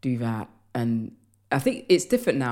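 A woman talks at a very deep, low pitch. The recording is very clean, with a silent background. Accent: London. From London, England. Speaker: comedian and writer. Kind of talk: casual interview chat.

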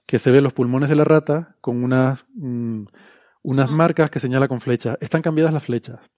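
The sound is dry and close with no echo as a man speaks in a dark, mellow tone with fairly even intonation. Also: medium pitch for a man, moderate pace. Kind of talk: casual chat.

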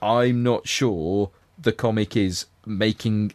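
With a quiet background and a dry, close sound with no echo, a man speaks in a Liverpool accent. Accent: Scouse. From Liverpool, England. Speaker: podcast co-host. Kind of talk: casual chat.

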